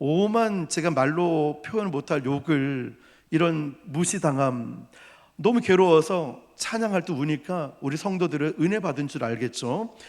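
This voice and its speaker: The recording is very clean, with a silent background. A man speaks loudly with lively intonation. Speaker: pastor. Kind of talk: sermon.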